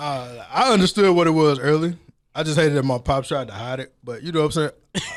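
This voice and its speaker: A man speaks with a fairly high pitch and ordinary pitch variation while music plays in the background. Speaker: podcaster. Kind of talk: casual chat.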